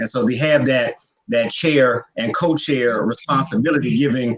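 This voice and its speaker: This man uses an ordinary speaking voice and keeps to a moderate pace. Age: young. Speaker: activist, nonprofit director. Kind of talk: panel self-introduction. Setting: panel discussion.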